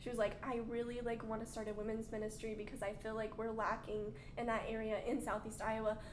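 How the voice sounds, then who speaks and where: Amid noticeable background noise and audible room echo, a woman talks very fast with a fairly high pitch. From Arkansas. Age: 20s. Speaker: stay-at-home mom. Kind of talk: casual chat.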